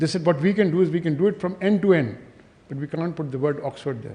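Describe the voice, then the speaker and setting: A very fast-talking man with a fairly high pitch, a dark, mellow tone and lively intonation. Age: 70s. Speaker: author. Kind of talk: speech. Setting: stage with audience.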